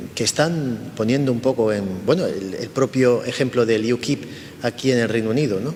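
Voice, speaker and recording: Ordinary pitch movement in a man's voice, with noticeable background noise. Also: medium pitch for a man, moderate pace. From Spain. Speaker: cultural institute director. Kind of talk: interview. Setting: institute in the UK.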